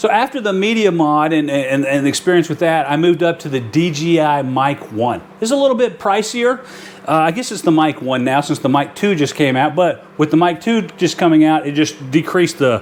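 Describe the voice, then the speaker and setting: A man talks at a fairly quick pace with hardly any pauses over noticeable background noise. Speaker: outdoor YouTuber. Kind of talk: tutorial. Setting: garage studio. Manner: loud.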